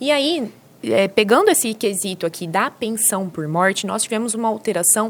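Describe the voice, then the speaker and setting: A woman in an interior São Paulo accent speaks at a moderate pace with very wide pitch swings, over noticeable background noise. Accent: Brazilian São Paulo countryside. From interior of São Paulo state, Brazil. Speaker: social security lawyer. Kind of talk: podcast interview.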